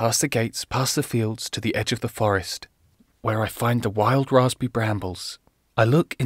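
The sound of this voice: An unforced reading voice, the background quiet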